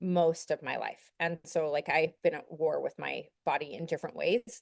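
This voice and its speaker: At a moderate pace, a woman with an American accent and a fairly low pitch speaks in a dry, close sound with no echo. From Utah. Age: 40s. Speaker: law student. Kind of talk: podcast interview. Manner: halting.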